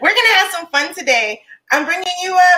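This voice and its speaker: Raised, projected female speech with a bright, sharp tone. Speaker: live stream host, small business founder. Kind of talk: live interview. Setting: live stream video call. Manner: loud.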